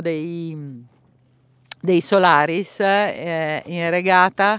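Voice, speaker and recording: The delivery is very slow, on a very clean recording with a silent background. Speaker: sailing commentator. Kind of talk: live sports commentary. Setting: on a boat at sea, outdoors. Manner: calm, unhurried, halting with many fillers; relaxed, descriptive, lightly humorous.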